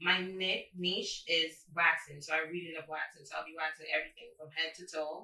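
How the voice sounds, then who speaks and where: A woman's fairly low, bright, sharp voice in a flat monotone, with hardly any pauses and big swings in loudness. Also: moderate pace. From Jamaica. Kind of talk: casual podcast interview.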